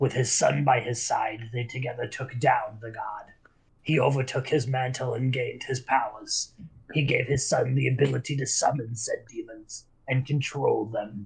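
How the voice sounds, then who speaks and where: Using a put-on character voice, a man speaks at a moderate pace and medium pitch, sounding raspy and shaky. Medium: actual play. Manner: shaky, fearful.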